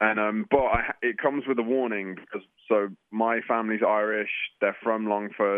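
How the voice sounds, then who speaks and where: With an English accent, a man talks at a moderate pace in a fairly low pitch, his intonation monotone and flat. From England. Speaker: musical theatre actor. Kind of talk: radio interview. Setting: phone or remote call.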